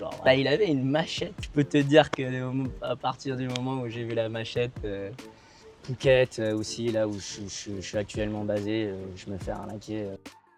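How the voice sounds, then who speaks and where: The voice moves at a moderate pace with ordinary pitch variation and big swings in loudness. Music plays in the background. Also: man, medium pitch for a man. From Thailand (Hua Hin), half Thai half Belgian. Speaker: interviewee, half-Thai resident of Thailand. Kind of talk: interview. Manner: halting, many hesitations.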